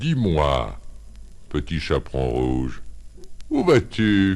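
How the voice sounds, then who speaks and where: This is a put-on character voice. The delivery is very slow. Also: man. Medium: read story. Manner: sly, coaxing.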